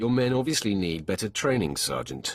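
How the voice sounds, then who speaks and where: Putting on a character voice, a man talks fairly quickly at a fairly low pitch. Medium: video game.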